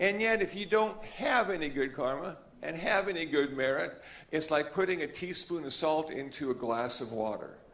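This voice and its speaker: Against noticeable background noise, a man with a fairly high-pitched voice speaks with lively intonation. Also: moderate pace. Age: 70s. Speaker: Buddhist monk. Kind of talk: Dharma talk. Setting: church hall with audience. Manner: relaxed, conversational.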